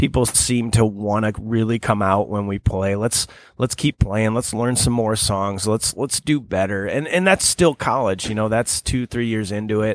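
A man with an unremarkable speaking voice talks at a fairly low pitch and a moderate pace, with hardly any pauses. His pitch variation is ordinary, and the recording is very clean, with a silent background. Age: 30s. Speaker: cover band drummer. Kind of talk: casual interview. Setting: studio.

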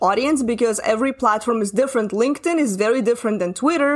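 A woman speaks at a very fast pace and a high pitch. Her pitch varies in an ordinary way. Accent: Russian. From Russia. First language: Russian. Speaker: marketing coach. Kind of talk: casual interview chat.

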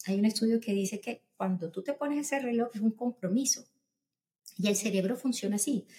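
A woman with a fairly high pitch speaks at a fairly quick pace with ordinary pitch variation. Her tone is dark and mellow, and somewhat breathy. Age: 40s. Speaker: pediatrician. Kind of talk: interview.

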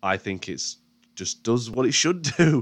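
A man with a British accent speaks at a moderate pace with lively intonation over a quiet background. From UK. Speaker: film podcast host. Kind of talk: solo podcast monologue. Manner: casual, hesitant with fillers.

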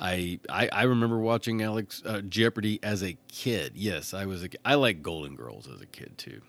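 A man's fairly low voice at a moderate pace with lively intonation. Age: 40s. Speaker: podcast host. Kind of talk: solo podcast commentary. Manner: animated.

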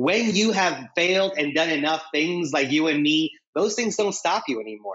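A man moves along at a fairly quick pace, his pitch varying in an ordinary way. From US Midwest, Fort Wayne, Indiana (moved from Mexico at five). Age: 30s. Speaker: entrepreneur and graphic designer. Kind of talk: casual interview chat.

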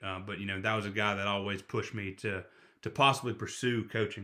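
A man talks at a very fast pace in a Southern US accent. His intonation stays fairly even. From Florida panhandle. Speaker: football coach. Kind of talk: casual chat. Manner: halting.

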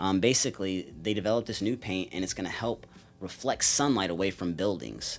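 A plain, everyday voice at a fairly quick pace with ordinary pitch variation, captured in a very clean recording with a silent background. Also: man. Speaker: podcast co-host. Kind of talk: casual chat. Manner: casual.

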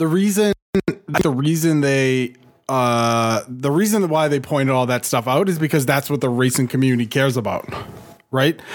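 Delivered with an American accent, this is an ordinary speaking voice at a moderate pace with ordinary pitch variation. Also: man. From Boston, US. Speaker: video game podcast co-host. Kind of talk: casual chat. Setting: live show.

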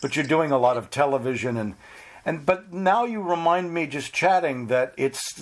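This man has an unremarkable speaking voice, lively intonation and a moderate pace. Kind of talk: casual interview.

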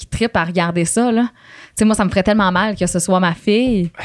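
In a very clean recording with a silent background, a woman speaks in an unremarkable speaking voice at medium pitch with fairly even intonation. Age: 20s. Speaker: radio host. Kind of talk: casual chat. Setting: studio.

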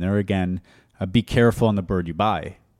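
A man with a plain, everyday voice and a fairly low pitch speaks with an American accent. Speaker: cooking podcast host. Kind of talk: casual chat. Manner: joking, chatty.

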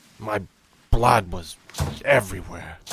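Using a raspy, put-on character voice, a man talks at a moderate pace. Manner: bitter, wry, grieving.

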